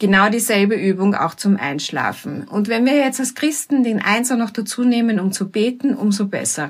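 Somewhat breathy, a woman speaks with hardly any pauses and ordinary pitch variation. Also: fairly high pitch for a woman, moderate pace. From Austria, Vienna. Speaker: teacher and mediator. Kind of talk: talk with guided breathing exercise.

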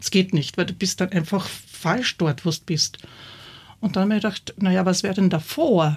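Lively intonation carries a somewhat breathy voice. The recording is very clean, with a silent background. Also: woman. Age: 60s. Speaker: theatre director. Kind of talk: interview. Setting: studio.

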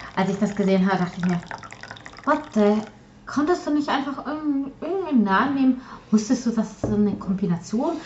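Over noticeable background noise, a woman with a fairly high pitch speaks at a moderate pace, her pitch swinging very widely between long, frequent pauses. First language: Polish (speaking German). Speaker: podcast co-host, hobby artist. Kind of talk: casual chat. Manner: halting, many fillers and repetitions.

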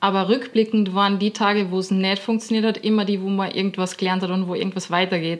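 A woman with an Austrian accent talks very fast at a medium pitch, flat and monotone, with hardly any pauses. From Austria, Linz. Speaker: professional dancer. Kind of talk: casual interview.

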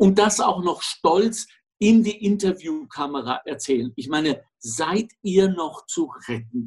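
This man's voice is high-pitched and swings very widely in pitch. He talks at a very slow pace. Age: 60s. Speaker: podcast co-host. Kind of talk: casual chat.

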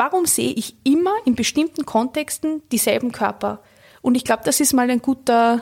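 A woman with high pitch and ordinary pitch variation at a moderate pace, a dry, close sound with no echo, and a very clean recording with a silent background. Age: 30s. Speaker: cultural studies scholar and author. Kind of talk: interview.

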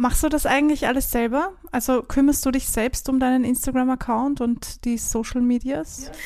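An Austrian accent at a moderate pace, with fairly even intonation and hardly any pauses. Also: woman, high pitch for a woman. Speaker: podcast host and songwriter. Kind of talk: interview conversation with intro and outro.

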